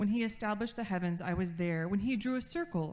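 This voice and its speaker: A woman talks at a fairly quick pace with ordinary pitch variation. It is an ordinary speaking voice. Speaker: scripture reader. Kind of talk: reading aloud.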